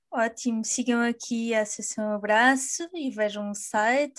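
Here is a woman with a normal speaking voice and fairly high pitch. Her intonation is fairly even, over a quiet background. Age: 20s. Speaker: podcast host. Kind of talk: interview.

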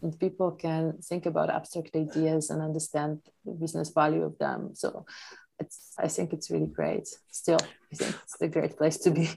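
The speaker has a Polish accent. The pace is moderate. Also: woman. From Poland. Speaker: startup founder. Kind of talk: interview. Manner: halting.

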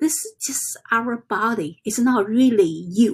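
A woman with a non-native accent and a high pitch speaks at a very slow pace on a very clean recording with a silent background. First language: not English. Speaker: self-help vlogger. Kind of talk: casual vlog monologue. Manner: halting.

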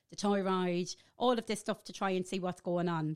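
A woman speaks at a medium pitch with an Irish Midlands accent. The recording is very clean with a silent background, and the sound is dry and close with no echo. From Ireland, Athlone. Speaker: podcast guest trying a diet plan. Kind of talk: casual chat. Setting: studio.

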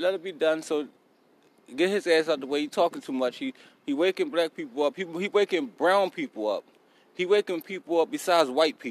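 A man with a high voice speaks with lively intonation in a dry, close sound with no echo. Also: fairly quick pace. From South Philadelphia, US. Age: 40s. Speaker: podcast host. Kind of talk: casual monologue. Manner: animated.

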